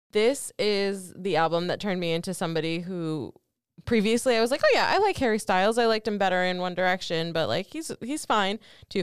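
On a very clean recording with a silent background, a woman with a normal speaking voice talks at a fairly quick pace, medium pitch and lively intonation. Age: 30s. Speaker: podcast co-host, marketing professional. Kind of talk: casual chat.

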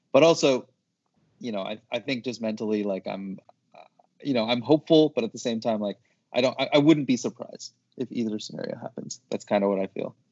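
A man with a plain, everyday voice, medium in pitch with ordinary pitch variation, at a fairly quick pace. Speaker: sports media social team member. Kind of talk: casual chat. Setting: video call.

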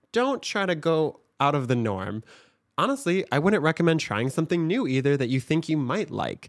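In a very clean recording with a silent background, a man with a Michigan accent talks at a moderate pace and fairly high pitch, his pitch swinging very widely. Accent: Michigan (Upper Midwest) American. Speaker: TikTok creator and agency owner. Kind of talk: casual interview chat.

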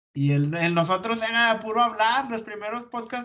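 A man speaks with lively intonation. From Durango, Mexico. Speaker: podcaster. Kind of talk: casual chat.

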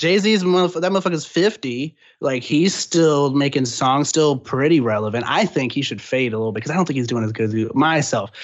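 Talking at a fairly quick pace with hardly any pauses, a man with an American accent has an ordinary speaking voice, fairly high pitch and lively intonation. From Texas, San Antonio. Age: 20s. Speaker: rapper. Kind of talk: casual interview. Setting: phone call.

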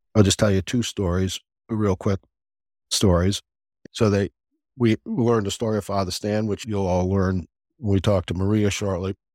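At a moderate pace and with fairly even intonation, a man with an American accent speaks at a fairly low pitch, in a dry, close sound with no echo and a very clean recording with a silent background. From US South. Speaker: podcast host and deacon. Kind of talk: casual interview chat.

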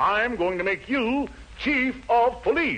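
A man's put-on character voice at an extremely high pitch, slow in pace, fairly bright in tone, with lively intonation over faint background noise

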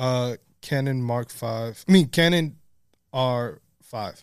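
The speech moves at a very slow pace with ordinary pitch variation. The recording is very clean, with a silent background. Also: man, long, frequent pauses. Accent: American. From New York City, the Bronx. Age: 20s. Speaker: photographer. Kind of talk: casual chat. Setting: studio.

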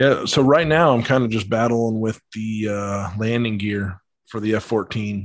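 An American accent comes from a man with an ordinary speaking voice at a medium pitch. He keeps a moderate pace and fairly even intonation over a quiet background. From Colorado. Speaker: model aircraft pilot. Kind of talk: casual chat.

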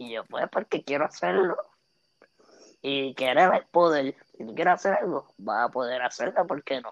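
Using lively intonation, a woman with a very deep, low pitch speaks at a moderate pace. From Puerto Rico, Aguas Buenas. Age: 20s. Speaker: social media comedian. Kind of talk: casual interview. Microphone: internet cutting out.

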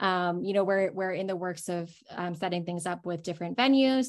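A woman speaks at a moderate pace in a normal speaking voice, with a fairly low pitch and ordinary pitch variation. She has an American accent, and the background is quiet. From US (Korean American). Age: 20s. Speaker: fan event organizer. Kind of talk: casual chat. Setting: video call.

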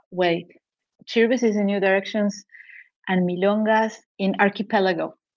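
With a Spanish accent, a woman of medium pitch talks at a moderate pace in a monotone, flat intonation, very even in loudness, with long, frequent pauses. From Argentina. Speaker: novelist. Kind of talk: casual interview. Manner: halting, many fillers and repetitions.

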